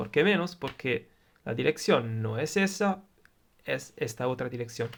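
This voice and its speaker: A man with an Italian accent talks at a fairly slow pace. His medium-pitched voice shows very wide pitch swings. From Italy. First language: Italian (speaking Spanish). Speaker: electronics tutor, YouTuber. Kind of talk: tutorial. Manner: halting, with filler sounds.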